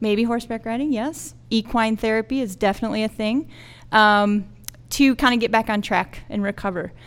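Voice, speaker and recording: A woman with a normal speaking voice talks at a moderate pace, her pitch fairly high. Her intonation is fairly even, and the recording is very clean with a silent background. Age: 40s. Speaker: school counselor. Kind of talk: casual interview.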